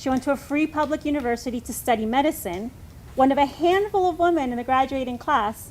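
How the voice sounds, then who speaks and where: Talking very fast with lively intonation, a woman uses a high-pitched voice in a Spanish accent. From US, summers in Mexico. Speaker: congregation member giving reflection. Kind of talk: personal reflection read aloud.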